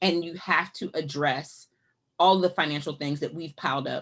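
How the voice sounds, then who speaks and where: A woman talks with a very deep, low pitch. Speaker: financial educator, nonprofit director. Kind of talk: webinar presentation. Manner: fast.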